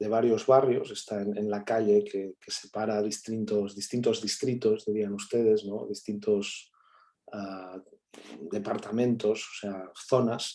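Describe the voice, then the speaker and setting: This man has a Catalan accent and a dark, mellow tone at a fairly low pitch. He talks at a very slow pace in a monotone, flat delivery, with big swings in loudness. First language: Catalan (speaking Spanish). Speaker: academic guest speaker. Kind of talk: seminar talk answering questions.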